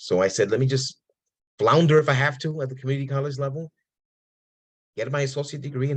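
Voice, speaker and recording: A fairly high, somewhat breathy male voice at a very fast pace. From New York City, Puerto Rican family. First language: Spanish. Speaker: professor. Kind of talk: interview.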